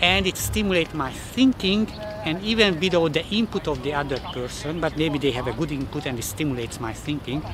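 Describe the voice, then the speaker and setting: Fairly quick pace against noticeable background noise. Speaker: self-development vlogger. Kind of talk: casual vlog talk to camera. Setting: public place, outdoors. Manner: halting, repeats words.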